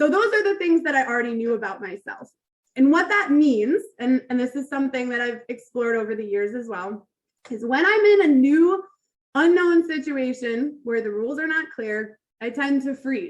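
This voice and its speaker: Loud and animated, a woman speaks at a high pitch with very wide swings in it. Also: moderate pace. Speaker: toastmasters club speaker. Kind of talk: prepared speech.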